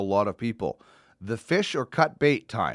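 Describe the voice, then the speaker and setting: A man talks at a moderate pace with a Canadian accent. He has an unremarkable speaking voice at a medium pitch. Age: 40s. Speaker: podcast host, former sports reporter. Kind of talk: casual chat.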